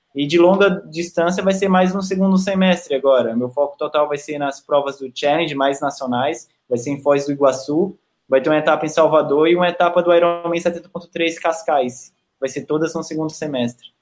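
Here is a man with a plain, everyday voice and a fairly high pitch. His intonation is fairly even, at a moderate pace. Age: 20s. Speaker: professional triathlete. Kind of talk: interview.

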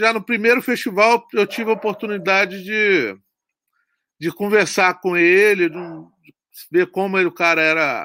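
Projecting a raised voice at a high pitch, a man speaks at a fairly slow pace with ordinary pitch variation and long, frequent pauses, on a very clean, dry, close recording with a silent background and no echo. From Brazil, Espírito Santo (Guarapari). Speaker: horror film director. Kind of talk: interview.

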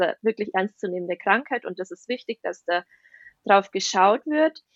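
A woman with a slight Bavarian accent talks at medium pitch with ordinary pitch variation, in a dry, close sound with no echo. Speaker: ayurveda nutrition and health coach in training. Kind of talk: podcast interview.

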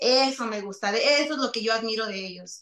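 The pace of this woman's speech is fairly slow. Pitch rises and falls in an ordinary way. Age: 30s. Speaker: singer. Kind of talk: interview.

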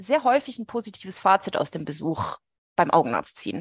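A woman's medium-pitched voice with vocal fry and lively intonation at a moderate pace, over a quiet background, with a dry, close sound and no echo. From Switzerland, Swiss Alps. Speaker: veterinary ophthalmologist. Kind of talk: casual interview chat.

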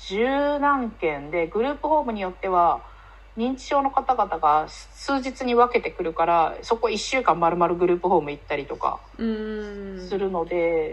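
With big swings in loudness and very wide pitch swings, a woman of medium pitch speaks at a fairly slow pace. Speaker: podcast guest with several side jobs. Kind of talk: casual chat.

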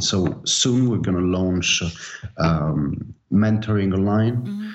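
Speaking in an Italian accent, a man goes at a fairly slow pace. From Naples, Italy. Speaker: DJ and label owner. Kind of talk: casual interview. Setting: remote call.

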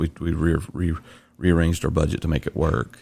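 A man with a very deep, low pitch, dark, mellow tone and vocal fry, in a slight Southern US accent, monotone and flat at a fairly quick pace. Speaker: podcast host. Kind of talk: casual chat.

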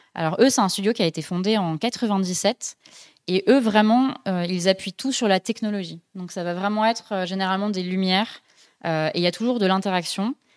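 This woman has a normal speaking voice at medium pitch, with ordinary pitch variation and a moderate pace. The recording is very clean with a silent background and a dry, close sound with no echo. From France, Dijon. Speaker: podcast host and graphic designer. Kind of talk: casual chat. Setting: live-streamed studio show.

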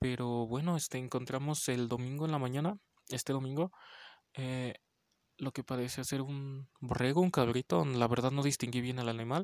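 A man speaks quietly at a medium pitch and moderate pace, with ordinary pitch variation. The recording is very clean with a silent background. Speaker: podcast host, horror film reviewer. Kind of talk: casual film review monologue. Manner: quiet, holding voice back; many fillers (este).

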